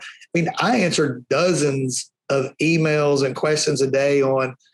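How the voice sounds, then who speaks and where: With a strong Alabama accent, a man speaks at a fairly high pitch. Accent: Alabama Southern accent, strong. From Alabama, US South. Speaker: powder coating trainer and business owner. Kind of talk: podcast interview. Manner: animated.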